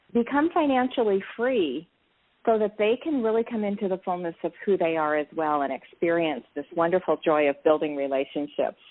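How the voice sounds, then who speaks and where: Pitch swings very widely as a woman with a fairly low voice talks at a moderate pace. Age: 60s. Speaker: network marketing entrepreneur. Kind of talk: interview. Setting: live interview.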